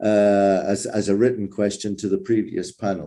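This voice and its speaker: A man with an English accent speaks at a moderate pace in a fairly low pitch, his tone dark and mellow, on a very clean recording with a silent background. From England. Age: 60s. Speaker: conference moderator. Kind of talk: panel discussion.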